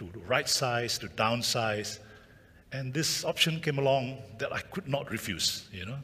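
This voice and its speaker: A man speaks at a medium pitch and a fairly slow pace, with lively intonation and big swings in loudness. Audible room echo surrounds the voice. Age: 70s. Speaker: retiree and photographer. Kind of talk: conference talk. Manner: halting, many fillers; energetic.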